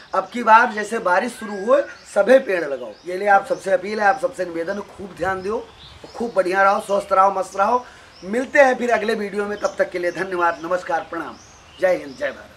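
Over light background noise, a man with a high pitch talks at a moderate pace, his loudness swinging a lot while his pitch varies in an ordinary way. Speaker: village social-message vlogger. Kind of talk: casual vlog chat with acted bits. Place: street.

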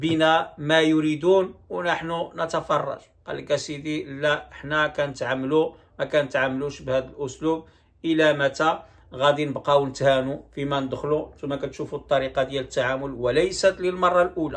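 A man's fairly high pitch and fairly even intonation at a moderate pace, over a quiet background. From Morocco. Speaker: YouTube commentator. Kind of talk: video commentary. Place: home room. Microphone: phone near.

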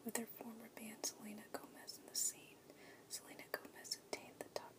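Whispered words come at a moderate tempo while background noise is noticeable. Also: woman. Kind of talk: ASMR biography reading. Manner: soft-spoken.

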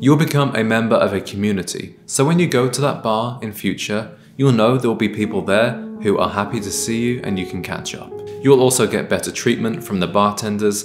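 A man at a fairly quick pace with ordinary pitch variation, clear music in the background. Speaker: style content creator. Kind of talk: advice talk to camera. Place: kitchen.

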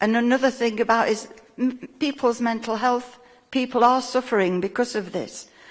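Over noticeable background noise, the voice holds a moderate pace and a fairly even intonation. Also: woman. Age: 70s. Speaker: local resident. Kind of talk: public question at council meeting.

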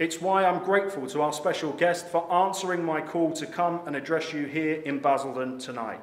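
With an English accent, a man speaks at a moderate pace in a fairly high pitch, his intonation fairly even, hardly any pauses, and audible room echo around him. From England. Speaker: political candidate; candidate. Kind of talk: political speech. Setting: stage with audience. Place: hall. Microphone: podium.

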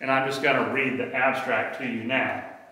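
Audible room echo surrounds a man's voice. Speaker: health educator. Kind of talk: lecture. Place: gym.

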